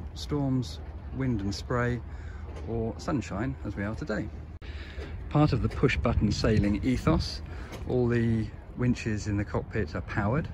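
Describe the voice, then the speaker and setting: With vocal fry and very wide pitch swings, a man talks fairly slowly at a fairly low pitch, taking long, frequent pauses against noticeable background noise. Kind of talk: walkthrough commentary. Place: boat. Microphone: phone near.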